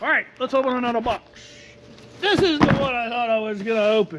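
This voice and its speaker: Someone speaks in a Texas accent over noticeable background noise. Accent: Texas drawl. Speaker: RV and product review YouTuber. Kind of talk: casual unboxing vlog. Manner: animated.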